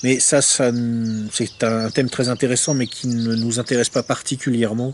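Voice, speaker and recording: Fairly even intonation and a moderate pace from a man at medium pitch. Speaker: essayist reviewing a book. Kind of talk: book review monologue. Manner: hesitant, many filler words.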